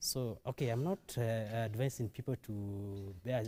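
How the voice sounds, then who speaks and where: A man with an East African accent speaks in a dark, mellow, somewhat breathy tone. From Kenya, Nairobi. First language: Kiswahili. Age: 20s. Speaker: testimony guest. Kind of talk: testimony. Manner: halting.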